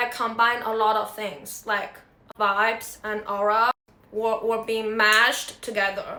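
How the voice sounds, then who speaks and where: Audible room echo surrounds a woman speaking with a Chinese accent. Her pitch is fairly high and her pace fairly slow. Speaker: singer-songwriter. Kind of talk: casual vlog monologue.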